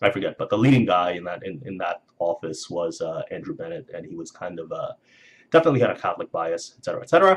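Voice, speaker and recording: A man speaks quietly. His pace is fairly quick. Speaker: video blogger. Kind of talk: casual monologue vlog. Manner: halting, many fillers.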